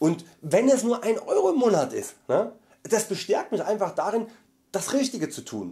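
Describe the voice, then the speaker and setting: Over a quiet background, a man with a high pitch and a dark, mellow tone talks at a moderate pace, his pitch swinging very widely. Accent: Saxon. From Saxony, Germany. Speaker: vegan YouTuber; vlogger. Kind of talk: monthly vlog update. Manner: loud; hesitant fillers.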